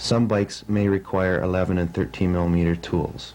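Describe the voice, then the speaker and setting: At a fairly slow pace, a man with a very deep, low pitch speaks with ordinary pitch variation. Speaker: motocross racer. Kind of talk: instructional how-to narration. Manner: slow, concise.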